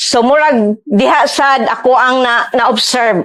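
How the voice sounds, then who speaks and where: A woman's high-pitched voice with a Visayan Filipino accent, at a fairly slow pace with ordinary pitch variation. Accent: Filipino (Cebuano) English. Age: 60s. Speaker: interviewee's mother. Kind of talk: testimony.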